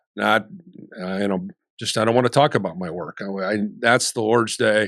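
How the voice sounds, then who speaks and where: In a plain, everyday voice, a man speaks at a fairly quick pace and a fairly low pitch with ordinary pitch variation. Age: 60s. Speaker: sports radio network founder. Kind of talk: casual chat.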